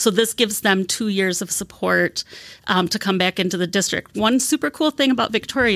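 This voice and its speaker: A woman with a plain, everyday voice and an American accent talks at a fairly quick pace, with a medium pitch and lively intonation, in a dry, close sound with no echo on a very clean recording with a silent background. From Wisconsin. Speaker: teacher and scholarship program coordinator. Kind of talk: interview. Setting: studio.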